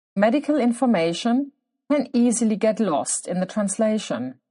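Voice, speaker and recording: A woman's somewhat breathy, medium-pitched voice at a fairly slow pace, with lively intonation over a quiet background. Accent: non-native. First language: German. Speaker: podcast host, clinician working with children. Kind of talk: scripted podcast monologue.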